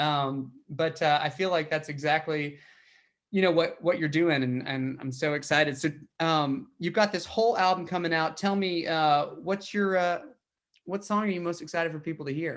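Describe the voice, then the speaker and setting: A man with a Southern US accent and a fairly high pitch speaks at a moderate pace on a very clean recording with a silent background. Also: ordinary pitch variation. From Tennessee, small town. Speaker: podcast host, country singer-songwriter. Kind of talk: casual interview chat.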